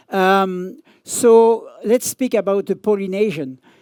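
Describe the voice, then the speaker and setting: A man in a French accent with ordinary pitch variation, on a very clean recording with a silent background and a dry, close sound with no echo. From France. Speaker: surf journalist and magazine editor. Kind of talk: conference talk. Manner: halting.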